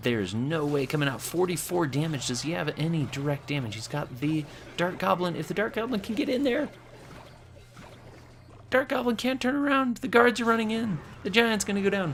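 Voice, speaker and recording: Pitch swings very widely at a fairly quick pace. Noticeable background noise runs underneath. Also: man, high pitch for a man. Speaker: gaming commentator. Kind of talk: game commentary. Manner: halting, stumbles over words.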